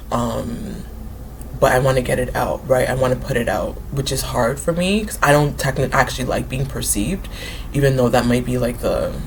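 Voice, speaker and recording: Room echo and noticeable background noise around a woman talking at a moderate speed. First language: not English; English is her third language. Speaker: writer and book vlogger. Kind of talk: casual talk to camera. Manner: hesitant, many fillers.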